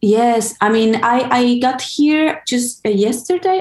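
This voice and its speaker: Over noticeable background noise, a woman's lively intonation comes through at a fairly slow pace. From Buenos Aires, Argentina. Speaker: DJ, music curator and radio host. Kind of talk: radio interview. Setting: remote call from LA. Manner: hesitant, with fillers and restarts.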